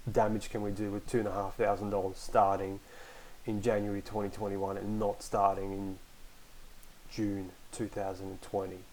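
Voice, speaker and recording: At a moderate pace, a man speaks with an Australian accent in a fairly low voice. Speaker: podcast host, online community moderator. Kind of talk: casual solo podcast talk. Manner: hesitant, many fillers.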